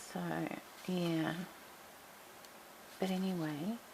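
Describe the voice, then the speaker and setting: At a very slow pace with ordinary pitch variation, the speech comes through noticeable background noise. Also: woman. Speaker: crafting tutorial host. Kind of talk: tutorial. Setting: at home. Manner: quiet, low voice.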